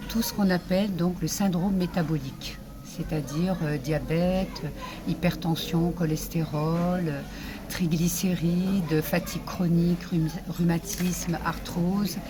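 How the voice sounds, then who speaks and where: Noticeable background noise surrounds a woman with a fairly low pitch. She speaks very slowly. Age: 60s. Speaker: social media influencer promoting supplements. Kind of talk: sales pitch / testimony. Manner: halting, many hesitations.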